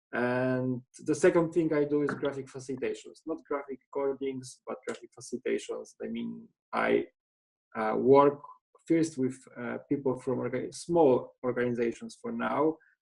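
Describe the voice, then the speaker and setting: A man speaks with a Polish accent. His pace is moderate. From Poland. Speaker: trainer and graphic facilitator. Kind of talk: self-introduction in a webinar. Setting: video call webinar. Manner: halting.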